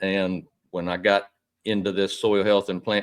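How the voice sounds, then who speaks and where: Heard in a very clean recording with a silent background, a plain, everyday voice speaks at a moderate pace. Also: man. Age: 60s. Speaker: citrus grower and soil health consultant. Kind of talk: podcast conversation.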